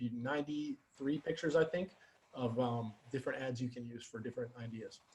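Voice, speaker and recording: A man's somewhat breathy voice. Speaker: Facebook ads coach for real estate agents. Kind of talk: webinar presentation. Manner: fast; faster than usual, rushed.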